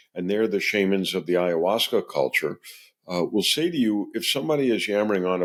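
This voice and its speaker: With an ordinary speaking voice, a man talks at a fairly quick pace and with lively intonation, captured in a very clean recording with a silent background. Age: 60s. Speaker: ethnobotanist. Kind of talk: interview.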